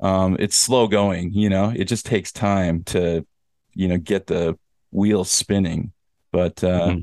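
A man speaks at a fairly slow pace with a very deep, low pitch and fairly even intonation. His loudness is very even against a quiet background. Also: dry, close sound with no echo. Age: 40s. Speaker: podcast host and teacher in Korea. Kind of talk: casual chat.

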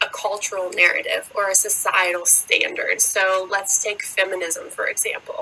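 With an American accent, a woman talks in fairly even intonation over noticeable background noise. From United States. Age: 20s. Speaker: podcast host. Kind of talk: faith-based solo monologue.

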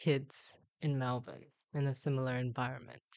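Against a quiet background, a woman with a Korean accent speaks at a fairly slow pace. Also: dry, close sound with no echo. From South Korea (Busan). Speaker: LPGA tour golfer and Olympian. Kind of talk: casual interview.

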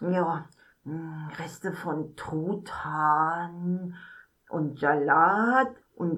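A female-sounding put-on character voice, fairly low in pitch for a woman, speaks at a very slow pace. Long pauses come often. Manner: excitable, stammering.

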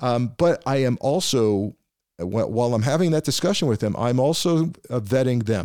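A normal speaking voice at a moderate pace, with lively intonation and very even loudness, in a very clean recording over a silent background. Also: man, medium pitch for a man. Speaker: podcast host, former FBI official. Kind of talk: interview conversation.

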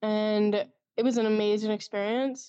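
In a plain, everyday voice, a woman speaks with fairly even intonation. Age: 20s. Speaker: fantasy author and mental health advocate. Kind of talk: interview.

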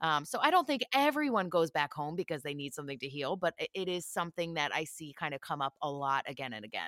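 Speaking at a very fast pace with hardly any pauses, a woman with an American accent uses a very deep, low pitch and lively intonation, her voice dry and close with no echo on a very clean recording with a silent background. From Philadelphia, US. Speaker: psychic medium. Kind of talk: casual interview chat.

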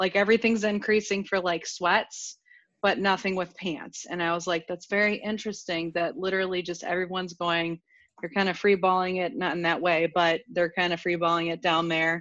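An ordinary speaking voice at a fairly quick pace, fairly even intonation, quiet background. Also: woman, medium pitch for a woman. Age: 30s. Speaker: podcast guest. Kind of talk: casual chat.

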